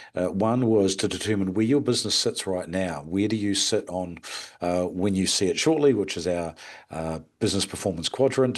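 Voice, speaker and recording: Someone with an Australian accent speaks at a fairly quick pace with ordinary pitch variation against a quiet background. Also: man. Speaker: hospitality business consultant. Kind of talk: webinar presentation. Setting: online webinar with screen share. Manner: hesitant, many fillers.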